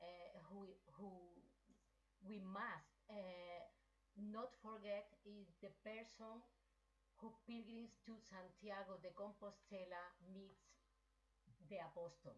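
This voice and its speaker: Over noticeable background noise, a woman with a strong Spanish accent speaks at a very slow pace and medium pitch. Her intonation is fairly even, with long, frequent pauses. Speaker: pilgrim association president. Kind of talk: online meeting contribution. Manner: halting.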